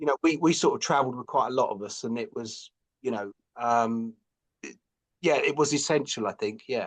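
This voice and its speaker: A man speaks at a fairly quick pace with lively intonation and a London accent over a quiet background. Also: medium pitch for a man, big swings in loudness. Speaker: author and graphic designer. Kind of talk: podcast interview.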